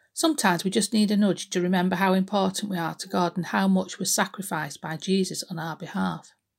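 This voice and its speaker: A woman speaks at a very fast pace with hardly any pauses, her medium-pitched voice carrying vocal fry. Her intonation is fairly even, and the recording is very clean with a silent background. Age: 50s. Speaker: church devotional speaker. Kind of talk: devotional talk.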